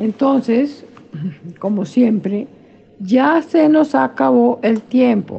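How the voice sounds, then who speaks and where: Her intonation is lively, and this woman's pitch sits high. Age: 80s. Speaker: religious commentator. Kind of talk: religious discussion.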